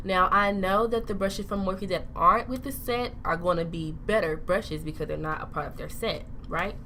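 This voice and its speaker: Bright and sharp in tone, a woman speaks. Room echo can be heard. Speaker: beauty vlogger. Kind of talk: product review. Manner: casual, chatty.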